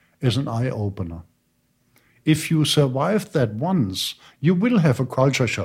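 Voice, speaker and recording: A man with a German accent speaks at a moderate pace, with vocal fry and very wide pitch swings. The recording is very clean, with a silent background. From Germany. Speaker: university lecturer. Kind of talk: interview.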